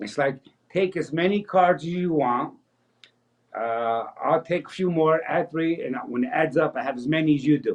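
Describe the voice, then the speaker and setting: With a plain, everyday voice, a man speaks at a fairly high pitch and a moderate pace, showing ordinary pitch variation. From New Jersey, US (Paterson). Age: 60s. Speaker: magician. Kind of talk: interview.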